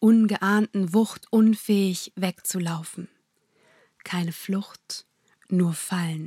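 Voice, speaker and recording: At a very slow pace, a woman of medium pitch speaks in an intense, dramatic tone that is somewhat breathy, with monotone, flat intonation and a dry, close sound with no echo. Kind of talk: poetry slam performance, spoken-word verse with rhymes, heartfelt and prayerful. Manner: intense, rhythmic, emotional delivery with dramatic pauses.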